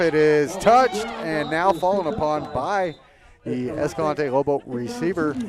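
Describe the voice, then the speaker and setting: Against noticeable background noise, a man with a fairly high pitch talks at a fairly slow pace with lively intonation. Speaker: play-by-play announcer. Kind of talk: live sports commentary. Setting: live broadcast at a high school football game. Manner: loud.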